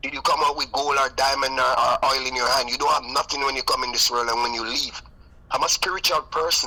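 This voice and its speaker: A man rattles off his words very fast while noticeable background noise carries on. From Jamaica, St. Elizabeth. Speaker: recording artist and music producer. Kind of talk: interview. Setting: live radio stream interview. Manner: animated.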